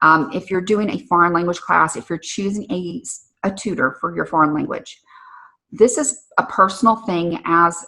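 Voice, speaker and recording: Her tone bright and sharp, a woman speaks at a moderate pace and medium pitch with lively intonation. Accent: American. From US South, southern Alabama. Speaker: podcast host and career coach. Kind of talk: casual podcast talk. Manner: conversational with many fillers.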